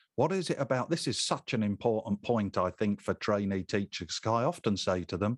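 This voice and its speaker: Recorded with a dry, close sound and no echo, a man with a plain, everyday voice speaks at a moderate pace and a fairly low pitch with ordinary pitch variation. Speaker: podcast host. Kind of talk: interview chat.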